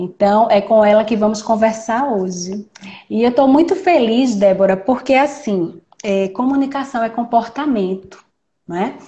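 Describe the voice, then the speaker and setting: Her voice is somewhat breathy and fairly high for a woman. She uses ordinary pitch variation. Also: fairly slow pace. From Recife, Brazil. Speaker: judge and live stream moderator. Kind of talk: live stream interview. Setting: online live stream. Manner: hesitant, repeats words.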